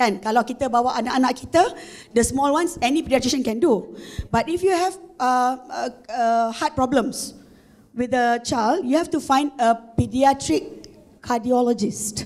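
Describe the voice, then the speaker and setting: A woman with a Malaysian accent speaks at a moderate pace in a high voice, her pitch varying in an ordinary way. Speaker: corporate marketing executive. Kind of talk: conference talk. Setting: stage with audience. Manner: hesitant, many fillers.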